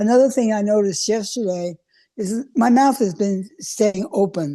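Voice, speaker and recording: Her voice has a dark, mellow tone, and this woman speaks at a fairly high pitch. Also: quiet background. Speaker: product user giving testimonial. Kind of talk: testimony. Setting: video call. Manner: halting.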